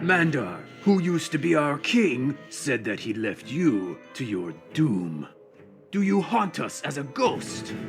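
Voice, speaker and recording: A man's put-on character voice, fairly high in pitch with very wide pitch swings, at a fairly slow pace over clear background music. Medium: video game. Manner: archaic, formal.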